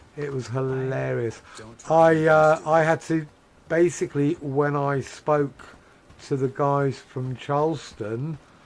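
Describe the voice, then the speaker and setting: A man with an English accent, fairly high in pitch, with fairly even intonation and a very slow pace. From England. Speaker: video game streamer. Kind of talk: casual chat.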